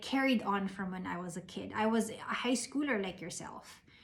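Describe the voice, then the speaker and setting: The speaker has a Filipino accent and lively intonation. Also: woman. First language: Tagalog. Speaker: invited speaker. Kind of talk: motivational talk. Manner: code-switching Taglish.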